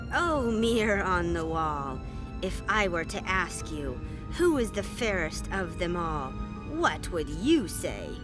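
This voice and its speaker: Over loud music in the background, a woman uses a cartoonish character voice at a fairly slow pace. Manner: haughty.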